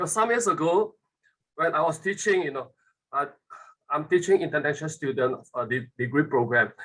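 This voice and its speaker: A man with a fairly high pitch, a bright, sharp tone and lively intonation. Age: 60s. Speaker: webinar participant, former business lecturer. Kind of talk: casual talk. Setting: video call. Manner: halting.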